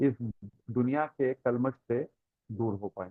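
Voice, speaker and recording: A man speaks with a Tamil accent. His intonation stays fairly even. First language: Tamil (speaking Hindi). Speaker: spiritual teacher. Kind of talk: religious lecture with Q&A. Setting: online class. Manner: hesitant, frequent fillers.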